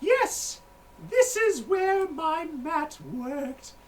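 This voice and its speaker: A put-on character voice, squeaky and extremely high-pitched, at a very slow pace. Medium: actual play. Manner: rambling, absent-minded.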